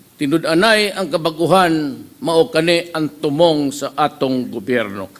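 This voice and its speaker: At a fairly slow pace, a man with high pitch and lively intonation speaks over noticeable background noise. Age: 70s. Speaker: head of state. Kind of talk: inaugural speech. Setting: formal hall before an audience.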